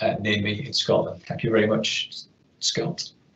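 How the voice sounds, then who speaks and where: A man is speaking. The room echo is audible. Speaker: webinar host. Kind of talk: webinar introduction.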